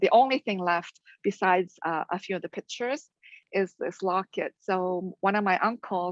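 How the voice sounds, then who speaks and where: With a quiet background and a dry, close sound with no echo, a woman speaks at a medium pitch with ordinary pitch variation. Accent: Korean. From Canada (London, Ontario), Korean-born. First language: Korean. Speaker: theology professor and conference speaker. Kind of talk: conference talk. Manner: casual, with many fillers.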